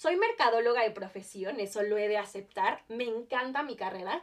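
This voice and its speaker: A woman speaks at a fairly slow pace with an animated tone. Her pitch is fairly high. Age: 20s. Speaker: podcast host. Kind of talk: casual monologue. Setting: home.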